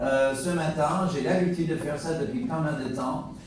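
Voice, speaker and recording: With an American accent and ordinary pitch variation, a man talks at a fairly high pitch amid audible room echo and noticeable background noise. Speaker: pastor. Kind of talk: sermon. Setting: church.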